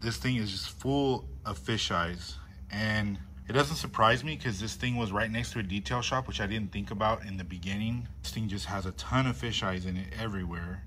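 Light background noise accompanies a man talking at a moderate pace with a fairly low pitch. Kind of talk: casual vlog chat. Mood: disappointed, annoyed. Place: garage. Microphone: phone near.

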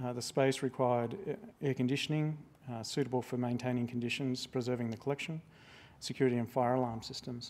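Very fast and with monotone, flat intonation, a man rattles through his words. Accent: Australian. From Australia. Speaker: museum registrar. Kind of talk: public talk. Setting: stage with audience. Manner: halting. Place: hall. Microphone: lapel.

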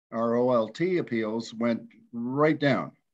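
A man talks over a quiet background. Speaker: council member. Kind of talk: meeting deliberation remarks. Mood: calm, persuasive. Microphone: video call.

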